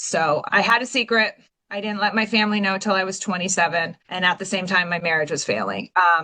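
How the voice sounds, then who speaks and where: This is an unremarkable speaking voice from a woman with an American accent. She talks at a fairly quick pace, with medium pitch and ordinary pitch variation. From Washington State, US (Pacific Northwest). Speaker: recovering addict, real estate agent. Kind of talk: personal testimony in interview.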